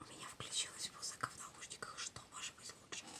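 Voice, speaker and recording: A woman whispering at a moderate pace. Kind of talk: ASMR casual talk to camera. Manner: whispered.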